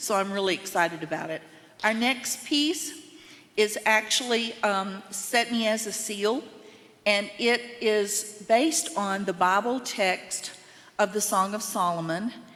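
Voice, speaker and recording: With a slight Southern US accent, a woman speaks at a fairly slow pace with a fairly high pitch. Noticeable background noise is present. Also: ordinary pitch variation. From US South (Mississippi and Tennessee). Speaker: choir member. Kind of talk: spoken introduction at a concert.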